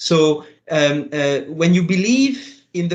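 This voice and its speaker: Here a man talks in a fairly high pitch with a French accent. His pitch varies in an ordinary way. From France. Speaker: international tax policy official. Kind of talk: panel interview.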